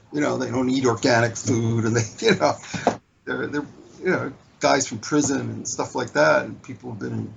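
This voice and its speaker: Noticeable background noise runs under a man speaking at a moderate pace with an American accent. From US, Baltimore. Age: 60s. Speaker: social media marketer, spiritual seeker. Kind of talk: interview conversation.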